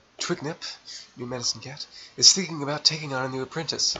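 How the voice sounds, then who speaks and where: A man's fairly high voice at a moderate pace, with ordinary pitch variation and noticeable background noise. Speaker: gaming YouTuber. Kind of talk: let's play commentary. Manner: slurred words; halting.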